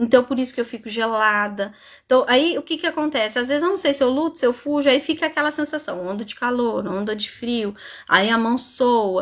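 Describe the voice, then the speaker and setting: A woman's high-pitched voice, fairly quick in pace and lively in intonation. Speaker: psychologist. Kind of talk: live stream talk. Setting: live stream. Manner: fast.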